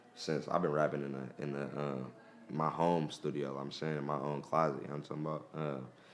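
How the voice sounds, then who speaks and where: A man's very deep, low voice with an American accent, fairly quick and flat in monotone, with audible room echo and noticeable background noise. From East Oakland, California. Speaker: rapper. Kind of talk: interview.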